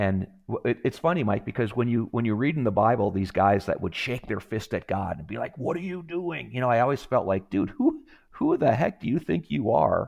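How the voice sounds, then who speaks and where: Speaking fairly quickly with an American accent, a man at medium pitch uses vocal fry and very wide pitch swings against a quiet background. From Wisconsin. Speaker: retired special forces soldier, nonprofit executive. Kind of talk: podcast interview. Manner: halting, frequent repetitions.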